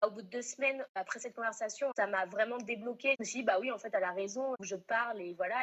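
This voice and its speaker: A woman's fairly high voice, very fast, with ordinary pitch variation. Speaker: restaurant manager. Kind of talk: interview.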